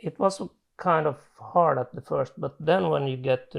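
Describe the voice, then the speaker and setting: A man speaks with a Swedish accent. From Finland. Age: 40s. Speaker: chronic illness patient. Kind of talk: testimony. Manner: halting.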